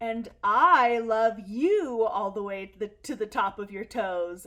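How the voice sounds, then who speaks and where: Using a put-on character voice, a woman talks at a fairly slow pace and a fairly high pitch. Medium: read story. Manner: gentle, warm.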